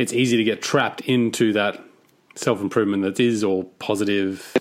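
Heard in a very clean recording with a silent background, a man with an Australian accent speaks with fairly even intonation at a fairly low pitch. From Australia (Cairns, Queensland). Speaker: podcast host. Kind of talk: interview.

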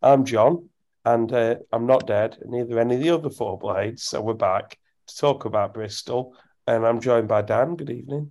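Against a quiet background, a man with a dark, mellow tone speaks at medium pitch and a moderate pace, with ordinary pitch variation. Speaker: football podcast host. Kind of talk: casual chat. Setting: recording at home at night, baby asleep. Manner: speaking quietly.

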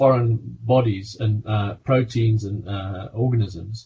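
With a South African accent, a man speaks at a medium pitch and a very slow pace, sounding somewhat breathy. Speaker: physician and pharmaceutical medical director. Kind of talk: interview. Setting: video call.

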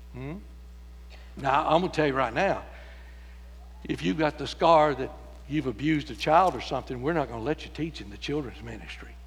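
Audible room echo surrounds a man with an American accent. He talks at a fairly quick pace, broken by long, frequent pauses. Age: 70s. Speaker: pastor. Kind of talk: sermon. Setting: church.

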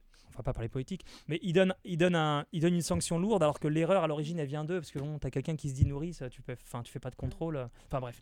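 A man with a fairly high pitch talks at a very fast pace. His pitch varies in an ordinary way, and his loudness swings widely. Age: 20s. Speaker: radio host. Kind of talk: casual chat.

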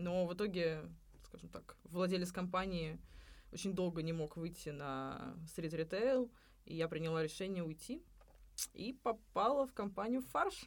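Pauses come long and often. The delivery is fairly slow. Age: 30s. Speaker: cafe owner and restaurant consultant. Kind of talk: podcast interview.

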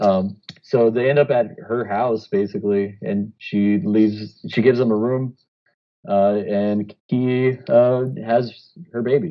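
A man at medium pitch with ordinary variation, speaking at a very slow pace. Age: 30s. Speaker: podcast co-host. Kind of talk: casual chat.

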